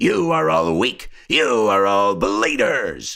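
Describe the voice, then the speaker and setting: A man puts on a character voice, fairly low in pitch and delivered at a very slow pace. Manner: harsh, menacing.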